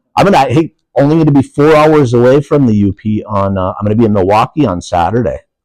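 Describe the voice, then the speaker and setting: A man in an Upper Peninsula Michigan accent talks very fast with hardly any pauses. His tone is animated and his intonation lively. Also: medium pitch for a man, dry, close sound with no echo. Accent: Upper Peninsula Michigan (Yooper). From Upper Peninsula of Michigan. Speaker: professional wrestler. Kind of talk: casual interview chat.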